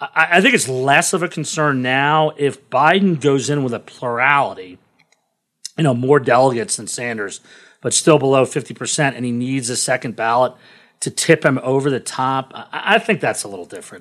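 On a very clean recording with a silent background, a man with an American accent and an unremarkable speaking voice talks at a moderate pace, with ordinary pitch variation and big swings in loudness. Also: medium pitch for a man. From Washington, D.C. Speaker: investment officer. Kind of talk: casual interview.

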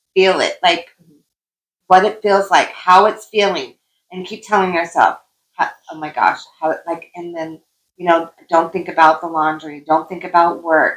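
Using a normal speaking voice, a woman speaks at a fairly low pitch and a moderate pace, her intonation fairly even but with big swings in loudness. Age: 50s. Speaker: life coach and podcast co-host. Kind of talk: casual chat.

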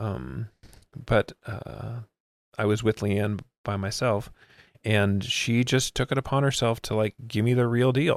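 A man with an American accent and an ordinary speaking voice, fairly low in pitch with ordinary variation, in a dry, close sound with no echo. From Miami, US. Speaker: nonprofit executive director. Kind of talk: casual interview chat. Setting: in person, recording in a room.

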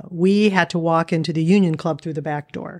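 A woman with an American accent and a plain, everyday voice speaks at a moderate pace, fairly low in pitch and with fairly even intonation, in a very clean recording with a silent background. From Erie, Pennsylvania. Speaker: trial lawyer. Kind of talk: interview conversation.

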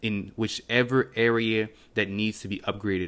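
A fairly low-pitched man with a French accent, fairly slow and fairly even in intonation, on a very clean recording with a silent background. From Cameroon-born, raised in Montreal. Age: 20s. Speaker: podcast host, fitness entrepreneur. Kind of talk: casual solo talk, podcast intro. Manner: conversational, filler words.

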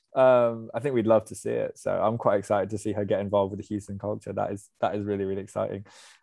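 Over a quiet background, a man with a dark, mellow tone and fairly low pitch races along at a very fast pace with an English accent, using a monotone, flat intonation and hardly any pauses. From England. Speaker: podcast host. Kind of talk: casual chat.

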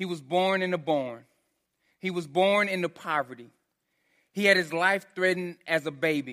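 With a strong Texan accent, a man talks at a moderate pace in a high-pitched, animated voice with ordinary pitch variation. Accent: Texan, heavy twang. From Texas. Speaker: pastor. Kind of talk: sermon. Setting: church. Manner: animated, casual.

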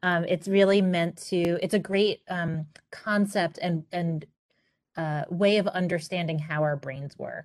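In a plain, everyday voice, a woman with an American accent speaks at a moderate pace with a fairly low pitch and fairly even intonation. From Queens, New York. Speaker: consultant, business founder. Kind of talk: interview.

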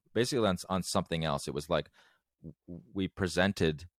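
Very fast speech with vocal fry, in a dry, close sound with no echo. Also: man, very clean recording, silent background. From England. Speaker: music producer and composer. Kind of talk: interview. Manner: halting, many fillers and repeated words.

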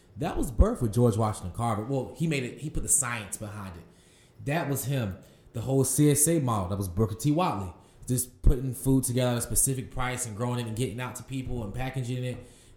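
A somewhat breathy man's voice in an American accent, medium in pitch, with big swings in loudness. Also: ordinary pitch variation, fairly quick pace. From Durham, North Carolina. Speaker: farmer and farm founder. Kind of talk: interview.

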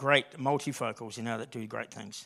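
Moderately paced male speech in an Australian accent, fairly even in intonation, on a very clean recording with a silent background. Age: 50s. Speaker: lay preacher. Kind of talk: sermon. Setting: church. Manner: casual, conversational.

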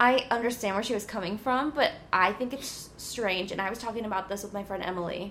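Very fast speech from a woman, fairly high in pitch, with ordinary pitch variation. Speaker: podcast host. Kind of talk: casual chat. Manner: loud; animated.

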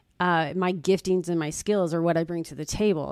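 A woman talks in a normal speaking voice at a fairly quick pace, her pitch fairly low and her intonation fairly even. The recording is very clean, with a silent background. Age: 50s. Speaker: real estate agent. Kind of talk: casual chat.

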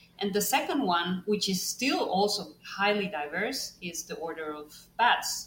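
Over noticeable background noise, a woman at medium pitch speaks with lively intonation and big swings in loudness. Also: hardly any pauses. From Costa Rica, San José. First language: Spanish. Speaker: bat ecologist and professor. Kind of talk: interview.

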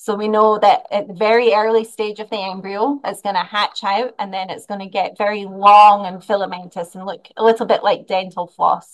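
With a Scottish accent, a woman talks at a moderate pace in a medium pitch, with fairly even intonation and hardly any pauses. Her loudness swings widely. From Scotland. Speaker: animal science professor. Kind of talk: interview.

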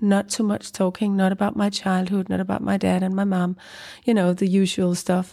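In a very clean recording with a silent background, a woman with a Danish accent speaks at a moderate pace in a dark, mellow tone, her medium-pitched voice monotone and flat. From Greenland and Copenhagen, Denmark. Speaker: writer. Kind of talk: interview. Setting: literature festival. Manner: halting.

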